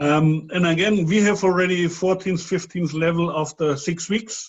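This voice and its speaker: Fairly slow and fairly even in intonation, a man speaks at a high pitch with a non-native accent. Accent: non-native English, audible dialect. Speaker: webinar host, sales presenter. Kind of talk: sales pitch webinar. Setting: online webinar.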